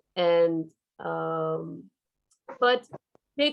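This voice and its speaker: A woman talks with a Turkish accent. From Turkey. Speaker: professor. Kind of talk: lecture. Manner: hesitant with fillers.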